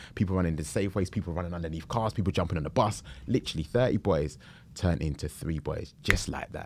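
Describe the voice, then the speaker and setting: This man has a very deep, low voice with a South London accent. He talks very fast with ordinary pitch variation. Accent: South London English, Multicultural London. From Southeast London. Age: 30s. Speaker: entrepreneur. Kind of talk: casual interview. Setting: in-person studio.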